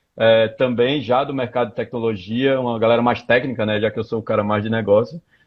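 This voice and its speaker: Speaking in a Recife accent, a man keeps a fairly quick pace. His pitch is medium, with flat, monotone intonation. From Pernambuco, Brazil (Recife). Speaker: tech startup founder. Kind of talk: live interview. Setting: Instagram live stream.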